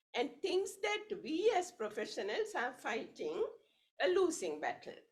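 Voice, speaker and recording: Audible room echo around a woman speaking. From Sri Lanka. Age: 70s. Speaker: evaluation expert. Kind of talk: conference speech.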